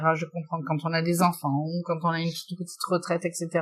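At a moderate pace, a woman talks in a plain, everyday voice set at a fairly low pitch. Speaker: shop owner. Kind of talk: interview.

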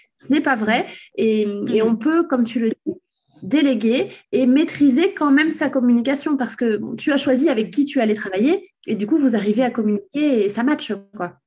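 Lively intonation marks a woman's high voice with a dark, mellow tone. Her pace is moderate. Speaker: podcast host, SEO consultant. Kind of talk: interview. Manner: stammering at times.

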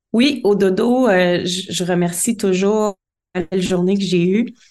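The speaker has a Quebec accent and a fairly slow pace. The intonation is fairly even. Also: woman. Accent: Québécois French. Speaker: life coach. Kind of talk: interview.

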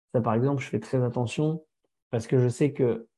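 Over a quiet background, a dark, mellow voice moves at a fairly quick pace with fairly even intonation. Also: man. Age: 30s. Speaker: firefighter and social media influencer. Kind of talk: interview testimony. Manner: halting, many fillers.

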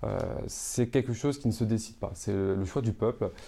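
Against a quiet background, a man talks at a moderate pace with a fairly low pitch and a dark, mellow tone. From Paris suburbs, Seine-Saint-Denis. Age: 20s. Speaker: entrepreneur, teacher and local councillor. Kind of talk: interview conversation. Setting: showroom.

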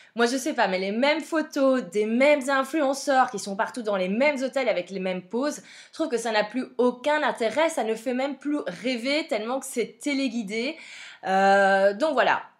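A woman with a high voice speaks in a Belgian accent. Her pace is moderate and her pitch varies in an ordinary way. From Belgium. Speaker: podcast host, social media coach. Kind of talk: solo podcast monologue. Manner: casual, frequent fillers.

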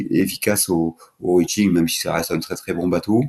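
Very deep and low, a man's voice carries a dark, mellow tone with ordinary pitch variation. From southern France (Languedoc). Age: 60s. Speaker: offshore sailing skipper. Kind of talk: interview. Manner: halting, many repeated words.

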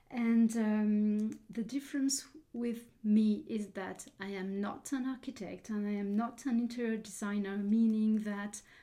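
Speaking in a French accent, a woman talks at a fairly slow pace with a fairly high pitch and fairly even intonation. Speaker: interior decorator, podcast host. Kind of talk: interview. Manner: halting.

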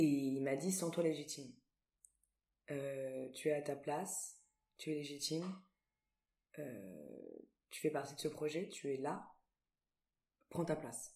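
Very slowly and with long, frequent pauses, a woman speaks in a very deep, low voice with a dark, mellow tone and ordinary pitch variation. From southern France, Antibes. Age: 20s. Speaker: stage actress and dancer. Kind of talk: interview.

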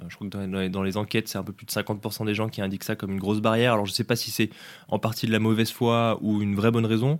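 A man's fairly low, monotone voice with flat intonation at a very fast pace, on a very clean recording with a silent background. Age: 20s. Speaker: startup co-founder and CEO. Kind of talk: interview. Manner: halting, many repetitions and fillers.

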